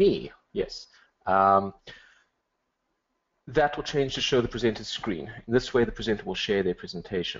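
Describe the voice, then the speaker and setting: Lively intonation colors a man's moderately paced speech. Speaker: webinar tech support. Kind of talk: technical briefing. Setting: online webinar.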